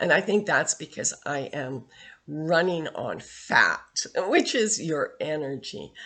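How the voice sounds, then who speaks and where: A woman speaks with a very deep, low pitch. Her intonation is lively, and the background is quiet. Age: 60s. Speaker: health vlogger. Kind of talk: casual monologue. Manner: halting, many fillers.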